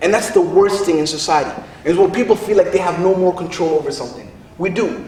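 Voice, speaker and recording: A man's animated, high-pitched voice at a very fast pace, with noticeable background noise. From Somalia. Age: 30s. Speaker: spoken word poet and activist. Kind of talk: public speech at a rally. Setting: in front of an audience.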